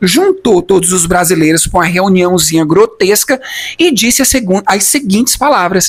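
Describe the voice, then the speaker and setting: With noticeable background noise behind him, a man with a Brazilian accent speaks at a high pitch and moderate pace, his tone animated and his intonation lively. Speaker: youtuber, former immigrant. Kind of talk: personal testimony, storytelling vlog. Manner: animated, conversational.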